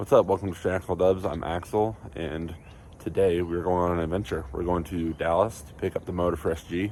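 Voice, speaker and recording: This man speaks fairly quickly in a very deep, low voice with vocal fry and ordinary pitch variation. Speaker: car enthusiast vlogger. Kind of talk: casual vlog.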